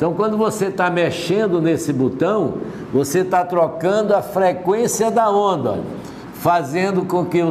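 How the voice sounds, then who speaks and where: Audible room echo and noticeable background noise fill this recording. A man speaks very slowly in a high pitch, with ordinary pitch variation. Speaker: physics teacher. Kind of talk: lecture.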